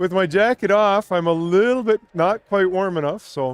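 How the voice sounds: A man's high-pitched voice with a clear, smooth tone and a dry, close sound with no echo. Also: ordinary pitch variation, moderate pace.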